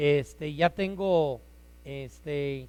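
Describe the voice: Loud and at a very slow pace, a man speaks with a fairly high pitch, ordinary pitch variation and a slightly mellow tone.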